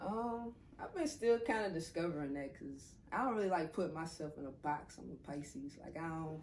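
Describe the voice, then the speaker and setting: Someone with a New Orleans accent speaks at a moderate pace with lively intonation and big swings in loudness, with audible room echo. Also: woman, fairly low pitch for a woman. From New Orleans, US South. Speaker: rapper. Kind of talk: interview. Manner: casual.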